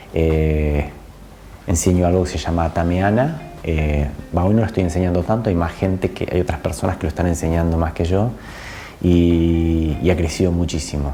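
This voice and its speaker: With music in the background, a man with a Buenos Aires accent speaks at a moderate pace in a very deep, low pitch with fairly even intonation. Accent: Argentine, somewhat Buenos Aires (porteño). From Argentina, born in Córdoba. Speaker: spiritual channeler and energy healer. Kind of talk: casual interview. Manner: hesitant, many fillers and repetitions.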